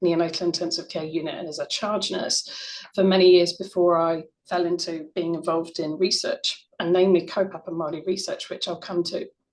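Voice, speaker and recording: With an English accent, a woman speaks fairly quickly at a fairly low pitch in a monotone, flat delivery. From UK. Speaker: researcher, former neonatal nurse. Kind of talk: conference presentation. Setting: online conference.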